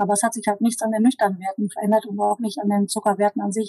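A woman at a medium pitch with a dark, mellow tone, monotone, flat intonation and a very fast pace, in a dry, close sound with no echo. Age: 40s. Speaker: diabetes coaching client. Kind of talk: interview.

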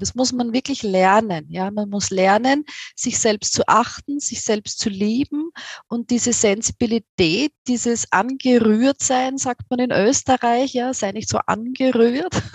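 Using ordinary pitch variation, a woman with an Austrian accent talks at a fairly high pitch and a fairly slow pace. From Austria, near Vienna. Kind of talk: interview. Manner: hesitant, with filler sounds.

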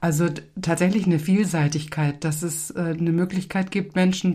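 A woman talks at a moderate pace in a fairly low, dark, mellow, somewhat breathy voice with flat, monotone intonation. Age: 60s. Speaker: retired pastor. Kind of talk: interview.

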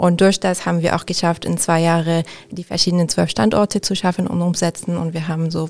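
Using an ordinary speaking voice, a woman with a fairly low pitch talks at a moderate speed, keeping her intonation fairly even. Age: 30s. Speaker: interior architect. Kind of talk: interview. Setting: studio.

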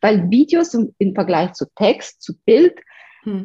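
A woman with a Romanian accent speaks somewhat breathily at a fairly high pitch, her tone dark and mellow, her sound dry and close with no echo. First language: Romanian (speaking German). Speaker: video marketing entrepreneur. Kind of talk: interview.

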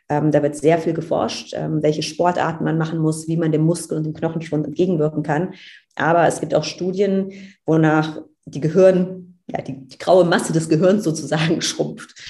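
A woman at a moderate pace, very deep, low pitch, dark, mellow tone, monotone, flat intonation and big swings in loudness. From Germany, Cologne. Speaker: astronaut trainee and astrophysicist. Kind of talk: casual interview.

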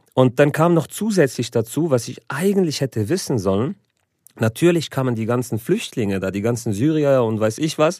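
This man has a plain, everyday voice at a medium pitch. He talks at a moderate pace with lively intonation. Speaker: comedian and show host. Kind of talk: casual podcast chat. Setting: studio.

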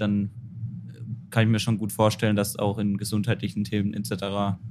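At a moderate pace, a man talks in a fairly low pitch. His intonation stays monotone and flat. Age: 20s. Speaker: trainee educator. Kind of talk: casual chat.

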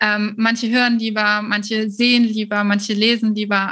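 At a moderate pace, a woman talks with a fairly high pitch in an ordinary speaking voice. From Germany, Cologne. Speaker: virtual assistance business coach. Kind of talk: interview.

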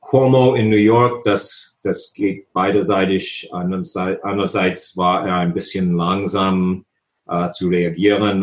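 The speaker has an English accent and a monotone, flat intonation. The pace is very slow. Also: man. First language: English (speaking German). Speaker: political science professor. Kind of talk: interview. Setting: video call. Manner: halting, many hesitations.

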